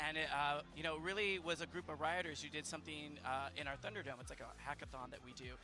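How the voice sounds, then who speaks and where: A man rattles along at a very fast pace with hardly any pauses and lively intonation. His fairly high voice has a bright, sharp tone and vocal fry. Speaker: game executive producer. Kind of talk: casual interview. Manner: hesitant with fillers.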